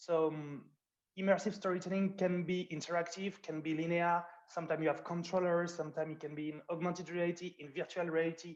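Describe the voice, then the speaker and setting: A man with a French accent talks at a very fast pace. His high voice stays monotone and flat. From France. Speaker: producer. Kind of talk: panel discussion.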